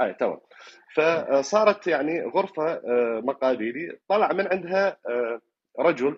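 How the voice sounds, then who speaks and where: With an Iraqi accent, a man speaks at a moderate pace in a fairly high pitch with lively intonation. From Iraq, Fallujah. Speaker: caller. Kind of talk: dream recounting on call-in show. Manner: halting, many fillers.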